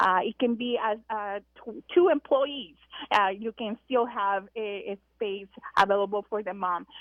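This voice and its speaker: At a fairly slow pace, a woman with a Spanish accent speaks in a fairly high pitch with ordinary pitch variation. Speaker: breastfeeding consultant, business founder. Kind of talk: radio interview. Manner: hesitant, many fillers.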